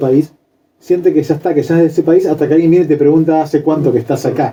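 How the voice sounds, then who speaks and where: The voice has a dark, mellow tone and moves at a very fast pace. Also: man. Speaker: radio host. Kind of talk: radio interview.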